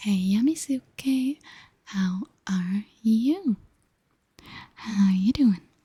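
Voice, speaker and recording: A woman speaks at a very slow pace with long, frequent pauses, in a fairly high pitch with lively intonation. Her voice is somewhat breathy with a dark, mellow tone, recorded with a dry, close sound and no echo. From Germany. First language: German. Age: 20s. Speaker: streamer. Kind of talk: casual chat.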